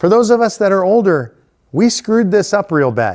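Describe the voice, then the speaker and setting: A loud man with an American accent, fairly quick pace and very wide pitch swings. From Texas. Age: 60s. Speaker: political activist. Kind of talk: town hall speech.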